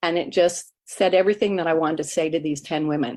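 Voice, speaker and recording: A woman speaks in a plain, everyday voice. Her pitch is fairly low, with ordinary pitch variation. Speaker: greeting card business distributor. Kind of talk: testimony.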